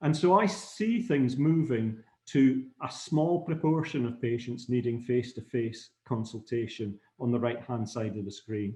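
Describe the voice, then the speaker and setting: At a fairly slow pace, a man speaks at a medium pitch in a dark, mellow, somewhat breathy tone with ordinary pitch variation. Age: 60s. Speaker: anaesthetist. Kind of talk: lecture. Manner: halting.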